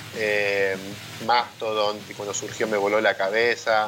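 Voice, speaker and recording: There is noticeable background noise as a man talks in a fairly low voice. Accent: Rioplatense. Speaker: podcast co-host. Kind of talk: casual chat.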